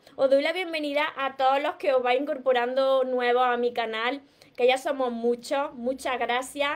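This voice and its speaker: Speaking in a strong Andalusian accent, a woman has a high-pitched voice. Her intonation is monotone and flat at a moderate pace. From Andalusia, Spain. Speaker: relationship coach. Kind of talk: live stream talk. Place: home room. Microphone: webcam.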